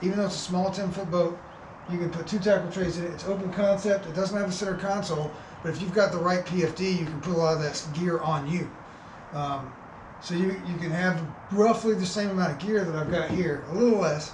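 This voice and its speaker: Over noticeable background noise and audible room echo, a man with a high voice speaks at a fairly quick pace with fairly even intonation. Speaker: fishing channel host. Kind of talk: product review. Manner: fast.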